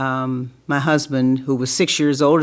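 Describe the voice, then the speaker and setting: A woman's very deep, low voice in an American accent, with monotone, flat intonation. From US South, Louisville, Kentucky. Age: 80s+. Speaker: retired educator. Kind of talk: personal storytelling.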